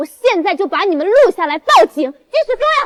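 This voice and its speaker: Shouting in a put-on character voice, angry in tone, at an extremely high pitch with very wide pitch swings and a moderate pace. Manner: angry, shouting.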